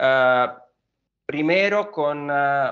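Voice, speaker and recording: A man with an Italian accent. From Italy. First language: Italian (speaking Spanish). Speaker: engineer at a building materials company. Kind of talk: podcast interview. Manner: hesitant, many fillers.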